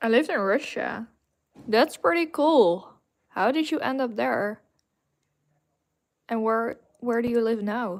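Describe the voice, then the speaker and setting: A woman with a Dutch accent, fairly high-pitched, with lively intonation, a fairly slow pace and long, frequent pauses, on a very clean recording with a silent background. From Netherlands. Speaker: gaming streamer painting figures. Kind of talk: casual live stream chat.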